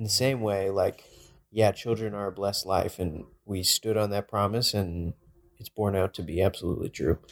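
A man with an American accent speaks at a moderate pace in an unremarkable speaking voice, his pitch fairly low and his intonation fairly even, on a very clean recording with a silent background and a dry, close sound with no echo. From Texas. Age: 20s. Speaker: podcast co-host, campus ministry intern. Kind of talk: casual chat.

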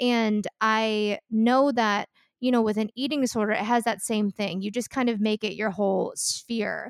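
In a dry, close recording with no echo and a very clean, silent background, a woman speaks with a fairly high pitch and fairly even intonation. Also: moderate pace. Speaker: podcast host. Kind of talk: casual chat.

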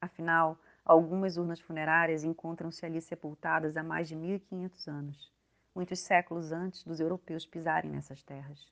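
The voice comes at a moderate pace with monotone, flat intonation and big swings in loudness, in a dry, close sound with no echo against a quiet background. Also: woman, fairly low pitch for a woman. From Manaus, Brazil, later Minas Gerais and Paraná. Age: 40s. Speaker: anthropologist. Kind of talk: scripted narration.

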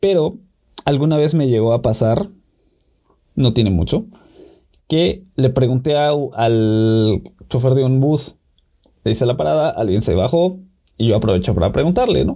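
A man speaks at a fairly slow pace in a dark, mellow tone, with long, frequent pauses. His medium pitch swings very widely while his loudness stays very even. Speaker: podcast co-host. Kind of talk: casual chat.

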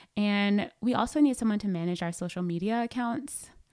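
A woman with an unremarkable speaking voice talks at a moderate pace with an American accent and ordinary pitch variation. The recording is very clean, with a silent background. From US South, Atlanta, Georgia. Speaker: podcast host and digital media strategist. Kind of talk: interview.

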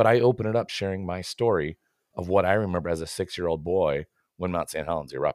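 A man with an American accent talks at a very fast pace in a very deep, low pitch with ordinary pitch variation. The recording is very clean, with a silent background and a dry, close sound with no echo. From US Pacific Northwest, Washington State. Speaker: marketing consultant and podcast host. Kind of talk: casual interview chat.

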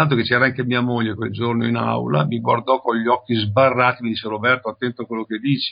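Speaking at a very fast pace with hardly any pauses, this man has a medium pitch and fairly even intonation. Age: 70s. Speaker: bodybuilding professor. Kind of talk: interview.

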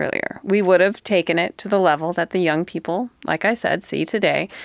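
In a dry, close sound with no echo, a woman uses an ordinary speaking voice at a moderate pace, her pitch varying in an ordinary way. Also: very clean recording, silent background. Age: 40s. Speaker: podcast host. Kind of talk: casual chat.

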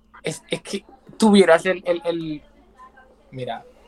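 Against noticeable background noise, a man with a high pitch and ordinary pitch variation talks in a dry, close sound with no echo. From Colombia, San Andrés islands. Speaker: content creator. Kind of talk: casual chat. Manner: animated.

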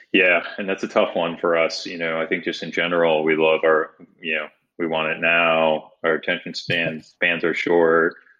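At a moderate pace, a man speaks in a very deep, low voice with monotone, flat intonation. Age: 40s. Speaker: sports producer. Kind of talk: interview.

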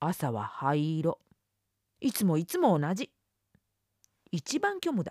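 Long, frequent pauses break up speech delivered very slowly. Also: woman. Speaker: audiobook narrator. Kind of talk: literary audiobook reading, first-person monologue of a schoolgirl. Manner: slow, reflective, intimate, with wry sulking tone and mood shifts.

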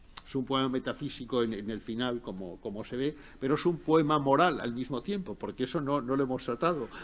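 A man talks at a medium pitch with an ordinary speaking voice and ordinary pitch variation. His pace is fairly quick, with hardly any pauses. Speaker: professor and literary scholar. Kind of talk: lecture and literary talk.

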